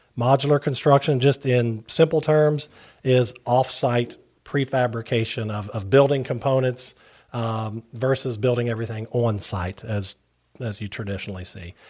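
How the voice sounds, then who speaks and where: A man with an Appalachian accent speaks at a medium pitch and a moderate pace, with ordinary pitch variation and big swings in loudness. The recording is very clean, with a silent background. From West Virginia, Wayne County and Huntington. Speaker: non-profit director, industry spokesperson. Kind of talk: casual interview.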